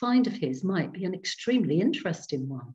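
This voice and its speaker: A woman with vocal fry swings her pitch very widely over a quiet background. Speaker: storyteller. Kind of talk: reading aloud ghost story to a Zoom group. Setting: video call. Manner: slow, dramatic, hushed suspense with character voices; gentle, warm storyteller. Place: home room. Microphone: webcam.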